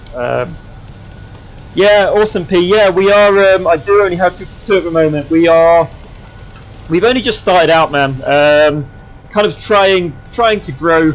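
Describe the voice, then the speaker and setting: A high-pitched man with an Essex accent, ordinary pitch variation and long, frequent pauses, against noticeable background noise. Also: moderate pace. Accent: southern English (Essex). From Essex, England. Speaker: flight sim streamer. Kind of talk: casual livestream chat.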